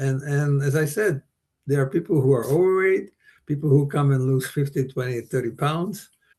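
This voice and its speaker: A man speaking at a moderate pace, fairly high in pitch and somewhat breathy, with lively intonation. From Slovakia. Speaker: bike tour company founder. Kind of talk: interview. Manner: halting.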